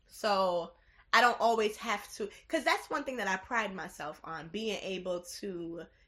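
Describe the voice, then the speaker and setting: A woman's medium-pitched voice with an American accent, bright and sharp in tone, at a fairly slow pace with ordinary pitch variation. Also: quiet background. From the Bronx, New York, Jamaican household. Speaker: education professional. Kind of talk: casual interview. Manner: energetic.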